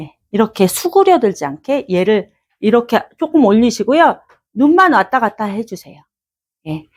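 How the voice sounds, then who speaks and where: The recording is very clean and the background silent. A woman talks with very wide swings in pitch. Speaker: vocal coach. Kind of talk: seminar lecture. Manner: animated.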